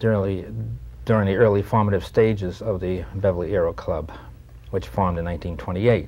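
Fairly low for a man, this voice is somewhat breathy and has a dark, mellow tone. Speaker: guest. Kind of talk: interview answer. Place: studio.

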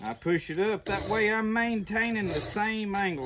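Moderate pace against noticeable background noise. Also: man. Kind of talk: tutorial. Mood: relaxed, folksy. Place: open country. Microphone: camera far.

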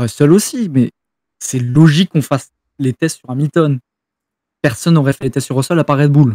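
Dark, mellow tone with ordinary pitch variation, long and frequent pauses, and a quiet background. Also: man, moderate pace, dry sound with no echo. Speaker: F1 fan on stream call; streamer. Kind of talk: casual debate. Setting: voice chat. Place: home room.

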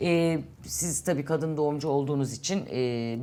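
Ordinary pitch variation from a woman, her pace moderate. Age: 50s. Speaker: TV talk show host. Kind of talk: interview.

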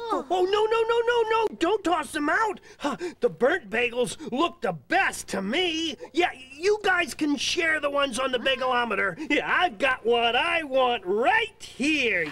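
A cartoonish character voice, high-pitched with very wide pitch swings, moves along at a fairly slow pace. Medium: puppet show. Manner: cheerful, eager, chatty.

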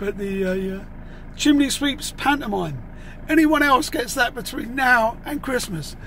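A man speaks at a fairly slow pace with lively intonation. The sound is dry with no echo, and there is light background noise. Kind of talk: casual vlog chat. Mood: humorous, exasperated storytelling. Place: car. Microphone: phone near.

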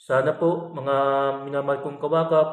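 The tone is warm. The pace runs fairly slow. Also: man. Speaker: religious reflection vlogger. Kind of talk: bible reflection. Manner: polite, warm address.

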